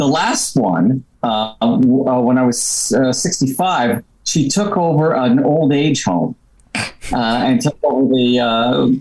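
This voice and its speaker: Over noticeable background noise, a man speaks very slowly at a medium pitch, his loudness very even and his pitch varying in an ordinary way. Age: 70s. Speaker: comedy club founder. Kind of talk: casual chat.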